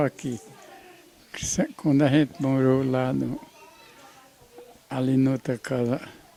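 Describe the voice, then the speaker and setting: Speaking at a fairly slow pace against noticeable background noise, a man has a fairly high pitch. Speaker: family patriarch, grandfather. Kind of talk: interview answer. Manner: hesitant, halting.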